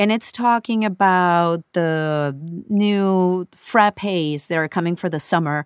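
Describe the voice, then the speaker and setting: A woman's fairly low voice at a very slow pace, with ordinary pitch variation, a dry, close sound with no echo, and a very clean recording with a silent background. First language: Spanish. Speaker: voiceover artist. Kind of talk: casual chat.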